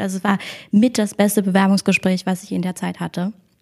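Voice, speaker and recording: In a very clean recording with a silent background, a woman with a medium pitch speaks somewhat breathily in a monotone, flat intonation. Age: 20s. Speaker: online marketing employee and student. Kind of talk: interview. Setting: company office.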